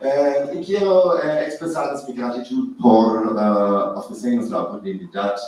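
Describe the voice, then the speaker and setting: A man with a non-native accent and lively intonation, at a very slow pace in audible room echo. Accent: foreign accent in Spanish. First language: not Spanish (speaking Spanish). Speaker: professor of biological anthropology. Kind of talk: academic presentation. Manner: halting.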